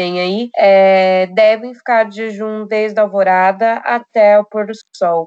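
A woman talks at a very slow pace in a monotone, flat intonation. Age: 20s. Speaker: university student. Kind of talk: casual chat.

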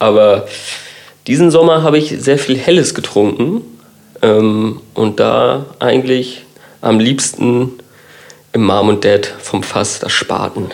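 Very slow delivery from a man at medium pitch with ordinary pitch variation and long, frequent pauses, amid audible room echo and noticeable background noise. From Kiel, northern Germany. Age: 30s. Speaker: designer. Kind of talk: casual chat.

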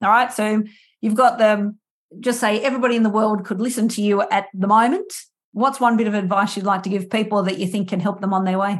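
Recorded very cleanly against a silent background, a woman with an Australian accent speaks very fast, somewhat breathy, at a fairly high pitch and with fairly even intonation. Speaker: podcast host and musician. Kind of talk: interview conversation.

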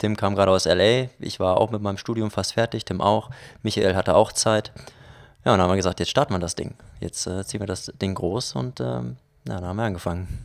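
A man speaks at a fairly quick pace in a normal speaking voice, fairly low with ordinary pitch variation. The recording is very clean, with a silent background. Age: 20s. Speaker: filmmaker. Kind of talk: casual interview.

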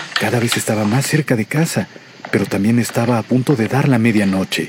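Noticeable background noise sits behind a man with a fairly low pitch. He speaks at a moderate pace with lively intonation. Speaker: radio announcer narrating a legend. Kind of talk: scripted ghost story narration.

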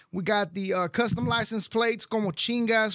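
A man with a Texan accent speaks in a raised, projected voice at a fairly quick pace, with a high pitch and ordinary pitch variation. His tone is bright and sharp, on a very clean recording with a silent background. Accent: Texan English, little Spanish. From Mexico, raised in Texas. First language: Spanish. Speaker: podcast host. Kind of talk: casual interview. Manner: casual, laughs often.

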